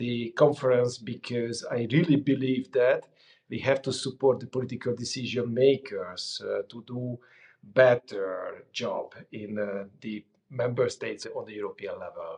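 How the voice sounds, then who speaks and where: A man with a Hungarian accent speaks at a fairly slow pace. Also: big swings in loudness. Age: 40s. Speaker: former politician. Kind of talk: interview. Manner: hesitant with fillers.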